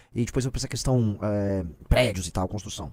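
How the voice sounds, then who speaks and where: Here a man speaks at a fairly quick pace. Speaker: political commentator. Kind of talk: casual chat. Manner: fast.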